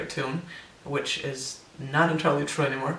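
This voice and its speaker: Audible room echo and noticeable background noise fill the clip. A man with a fairly high pitch speaks in a monotone, flat way. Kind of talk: personal vlog update. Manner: hesitant, many fillers.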